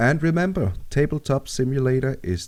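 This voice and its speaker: A man speaks with a Danish accent at a moderate pace. The recording is very clean, with a silent background. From Denmark. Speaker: gaming tutorial maker. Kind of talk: tutorial.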